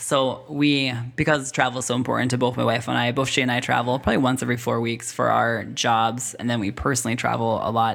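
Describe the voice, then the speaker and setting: Vocal fry runs through speech delivered at a very fast pace. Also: man. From Russia. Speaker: photographer and social media manager. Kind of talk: casual chat.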